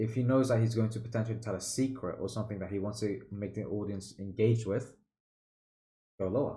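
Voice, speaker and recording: Audible room echo surrounds a dark, mellow voice that moves at a fairly quick pace with fairly even intonation. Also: man. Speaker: public speaking mentor. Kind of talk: tutorial. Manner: loud; casual, filler-heavy.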